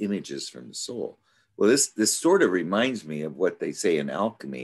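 A man speaks at a moderate pace against a quiet background. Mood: thoughtful, musing. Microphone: video call.

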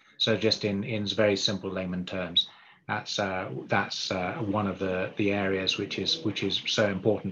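This man keeps his intonation fairly even at a moderate speed while noticeable background noise carries on. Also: fairly low pitch for a man. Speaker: livestock development director. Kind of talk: webinar presentation. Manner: halting. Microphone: dodgy line.

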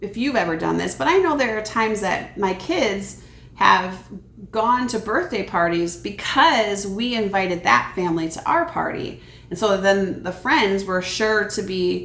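The room adds audible echo. Her delivery, a woman's, moves at a moderate pace. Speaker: children's ministry teacher. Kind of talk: Bible lesson storytelling for kids. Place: kitchen. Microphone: camera far.

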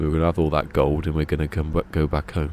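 Very deep and low in pitch with vocal fry, a man with a Berkshire accent talks at a very fast pace, the sound dry with no echo and light background noise. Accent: Berkshire accent, between Bristol and London. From southern England, Berkshire; southern England. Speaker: video game live streamer. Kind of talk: casual live stream chat. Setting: live stream. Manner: chill and relaxing. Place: home room. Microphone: studio mic.

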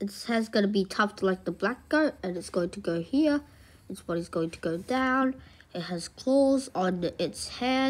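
Intonation here is lively. The delivery is plain reading aloud.

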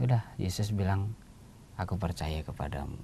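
A man talks at a fairly slow pace in a dark, mellow tone. There is light background noise. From South Sumatra, Indonesia. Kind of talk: homily and reflection in a TV talk. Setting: studio. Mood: calm, warm, reflective. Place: studio. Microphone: lapel.

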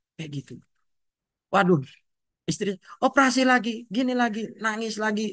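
Against a quiet background with a dry sound and no echo, a man speaks at a moderate pace and high pitch, with lively intonation and long, frequent pauses. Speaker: schoolteacher sharing patient family story. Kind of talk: testimony. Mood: emotional, recounting hardship. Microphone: video call.

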